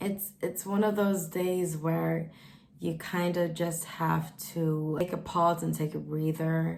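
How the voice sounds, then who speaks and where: A woman's monotone, flat delivery at a very slow pace, with audible room echo. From Sweden. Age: 20s. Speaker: vlogger. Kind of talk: casual vlog monologue.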